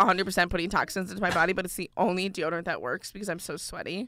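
In an American accent, a woman talks very fast with a bright, sharp tone and ordinary pitch variation. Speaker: college student podcast co-host. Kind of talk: casual chat. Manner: louder voice.

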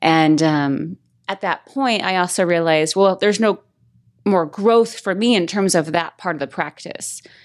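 In an ordinary speaking voice with an American accent, the speaker goes at a moderate pace with ordinary pitch variation on a very clean recording with a silent background. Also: woman. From Las Vegas, Nevada. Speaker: author and life coach. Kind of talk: casual interview.

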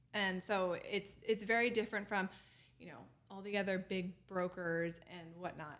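A woman's normal speaking voice, a normal speaking voice at a medium pitch and moderate pace, with big swings in loudness. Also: fairly even intonation. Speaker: real estate managing director. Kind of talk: casual podcast interview.

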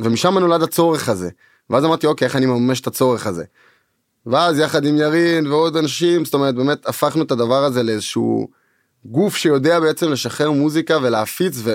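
A man's ordinary speaking voice, fairly high and fairly quick, with ordinary pitch variation and very even loudness in a very clean recording with a silent background. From Israel, Tel Aviv. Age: 20s. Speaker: music producer and record label co-owner. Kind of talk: casual interview chat. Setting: studio.

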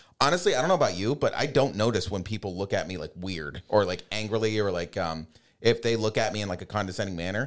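A man with an American accent and a fairly low pitch speaks at a very fast pace with lively intonation. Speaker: Paralympic sled hockey player. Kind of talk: casual chat. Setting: studio.

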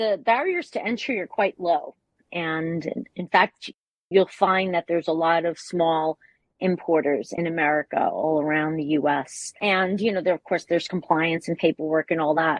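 With ordinary pitch variation, an ordinary speaking voice keeps a moderate pace. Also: woman, fairly low pitch for a woman. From New York. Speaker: wine importer. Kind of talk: interview.

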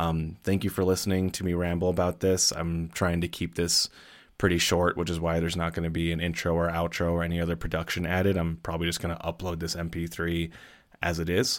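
A man with an American accent speaks at a very fast pace in a very deep, low pitch and a monotone, flat intonation, on a very clean recording with a silent background. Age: 30s. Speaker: podcaster and fiction writer. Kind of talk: unscripted monologue. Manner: hesitant, many fillers.

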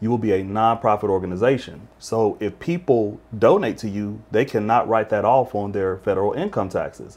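A man talks in an ordinary speaking voice, keeping a moderate pace and ordinary pitch variation. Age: 40s. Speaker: school administrator and pastor. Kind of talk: interview.

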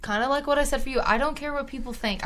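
A woman's bright, sharp voice carries audible room echo. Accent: American. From East Texas (Tyler). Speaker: podcast co-host, college student. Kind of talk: casual chat. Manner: animated.

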